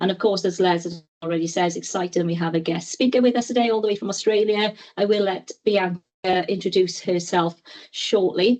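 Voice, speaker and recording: Talking at a fairly quick pace, a woman with a Welsh accent has a medium pitch and ordinary pitch variation. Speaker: clinical educator, webinar presenter. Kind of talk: webinar presentation.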